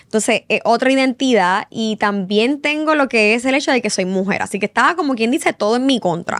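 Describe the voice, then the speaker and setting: With a Puerto Rican accent, a woman speaks at a fairly high pitch with lively intonation on a very clean recording with a silent background. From Puerto Rico. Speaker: journalist. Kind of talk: podcast interview.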